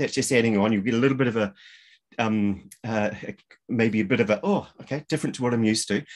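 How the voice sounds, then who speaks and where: The man speaks against a quiet background. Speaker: show host. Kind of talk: casual introduction to webinar audience. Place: home room. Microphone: video call.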